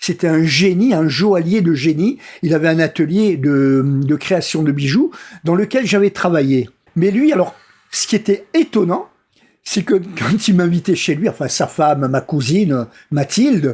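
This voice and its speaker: Speaking at a fairly slow pace, a man with a high voice uses lively intonation and keeps his loudness very even. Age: 60s. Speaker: vlogger. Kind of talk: casual monologue vlog. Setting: at a friend's home. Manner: halting.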